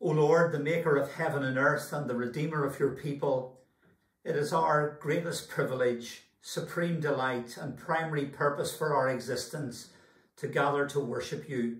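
Against a quiet background with audible room echo, a man speaks somewhat breathily at a fairly high pitch and moderate pace, his intonation fairly even. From Scotland. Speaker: church minister. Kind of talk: church service welcome and prayer. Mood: calm, reverent. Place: home room. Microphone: camera far.

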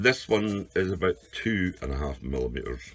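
A man speaks at a fairly slow pace. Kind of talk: tutorial. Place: workshop. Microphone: camera far.

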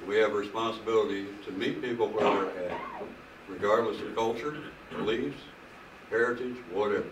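A man at a moderate pace with fairly even intonation, long, frequent pauses and noticeable background noise. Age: old. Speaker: preacher. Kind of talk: sermon. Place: home room. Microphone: camera far.

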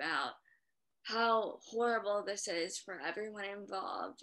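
A woman at medium pitch speaking at a very slow pace, quiet background. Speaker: stroke survivor. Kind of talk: interview. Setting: video call. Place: home room. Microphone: video call.

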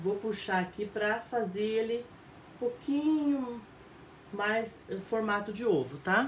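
A woman talks at a very slow pace with long, frequent pauses, a warm tone, a somewhat breathy quality and ordinary pitch variation. Light background noise and audible room echo sit behind her. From Paraná, southern Brazil. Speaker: fabric painting teacher. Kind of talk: live painting tutorial; tutorial while painting, live stream chat. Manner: warm, chatty, frequent tá?. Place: home room. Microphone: phone near.

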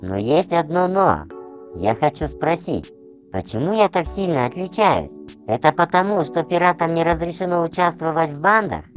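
Clear music plays in the background as a put-on character voice speaks at a middle pitch and a moderate pace. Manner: brooding, self-pitying.

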